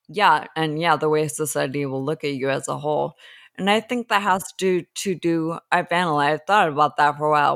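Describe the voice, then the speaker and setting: A woman with an American accent speaks in a very deep, low pitch with ordinary pitch variation, recorded very cleanly against a silent background with a dry, close sound and no echo. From Southern California, Los Angeles. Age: 40s. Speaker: person living with ataxia, support group leader. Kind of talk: interview. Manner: halting, repeats words.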